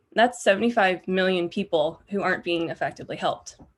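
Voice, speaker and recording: Heard against a quiet background, a plain, everyday voice with an American accent shows ordinary pitch variation. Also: woman. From United States. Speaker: postdoctoral researcher. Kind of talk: lecture.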